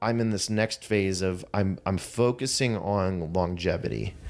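A man with an American accent talks in a normal speaking voice, his pitch fairly low with ordinary variation. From Pittsburgh area, US. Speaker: CrossFit coach. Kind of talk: interview.

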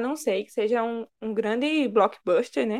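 An unremarkable speaking voice from a woman, fairly high in pitch, with ordinary pitch variation and a fairly slow pace. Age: 20s. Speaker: podcast co-host. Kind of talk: casual chat.

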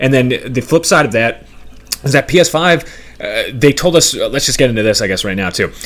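Here a man has an ordinary speaking voice at a fairly high pitch. His intonation is lively and his pace moderate. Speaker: podcast host. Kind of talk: casual chat about video games.

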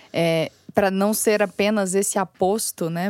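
A woman speaks at a medium pitch in an unremarkable speaking voice, with a dry, close sound and no echo. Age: 20s. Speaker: podcast host and content editor. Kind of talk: interview.

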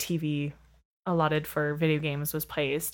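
Very deep and low in pitch, a woman's voice comes through a very clean recording against a silent background. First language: French. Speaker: actor and teacher. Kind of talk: casual chat. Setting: studio, playing a video game while talking.

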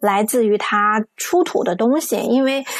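The woman's tone is animated and her pitch fairly high. Her pitch varies an ordinary amount. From Sichuan, China. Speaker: talk show host. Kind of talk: casual talk show chat. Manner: animated, friendly.

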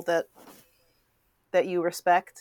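A woman speaks at a moderate pace with a medium pitch. The sound is dry and close, with no echo. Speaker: tour manager. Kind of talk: interview.

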